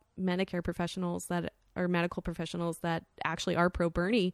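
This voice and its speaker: Someone with an American accent talks at a fairly quick pace in a plain, everyday voice. The sound is dry and close, with no echo. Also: woman, very clean recording, silent background. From US, South Florida. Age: 20s. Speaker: art world worker, podcast guest. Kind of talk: casual chat. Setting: studio.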